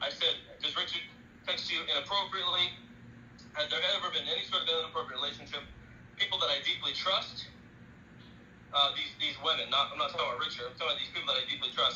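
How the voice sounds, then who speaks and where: A man rattles along at a very fast pace through noticeable background noise. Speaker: evangelist. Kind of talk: heated argument.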